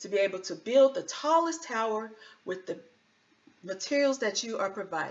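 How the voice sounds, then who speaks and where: A woman with an ordinary speaking voice talks at a moderate pace, using lively intonation. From US South, North Carolina. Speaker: engineer and children's author. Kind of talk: tutorial for children.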